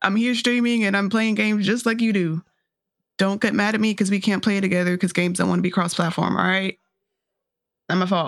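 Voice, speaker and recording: In a very clean recording with a silent background, a woman with an American accent and medium pitch talks at a fairly quick pace. Her intonation is fairly even, her loudness very even, and she leaves long, frequent pauses. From US South, North Carolina. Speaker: streamer. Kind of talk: casual chat.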